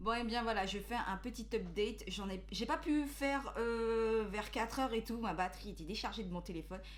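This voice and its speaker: Audible room echo surrounds a woman who talks at a moderate pace with hardly any pauses. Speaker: beauty youtuber. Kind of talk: product review vlog. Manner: hesitant, many fillers.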